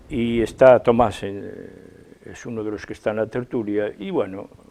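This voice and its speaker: Speaking at a fairly slow pace, a man with a dark, mellow tone keeps a medium pitch and ordinary pitch variation. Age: 70s. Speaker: artist. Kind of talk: TV interview. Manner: halting.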